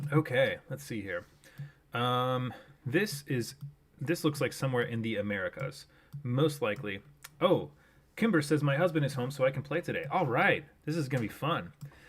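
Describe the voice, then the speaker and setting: A man with a fairly high, somewhat breathy voice talks at a moderate pace with lively intonation and long, frequent pauses. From Japan. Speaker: streamer. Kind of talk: live stream gaming commentary. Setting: live stream. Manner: casual, frequent fillers.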